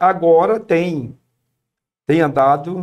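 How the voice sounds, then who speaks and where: This man talks with ordinary pitch variation. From Brazil, Paraíba backlands (Northeast). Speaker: missionary. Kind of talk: podcast interview, testimony.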